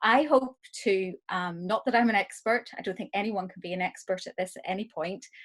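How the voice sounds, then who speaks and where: Speaking with an Irish accent, a woman moves at a fairly quick pace. Her pitch sits at a medium level, and the background is quiet. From Ireland. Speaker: arts director and producer. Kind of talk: lecture. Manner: hesitant, many fillers.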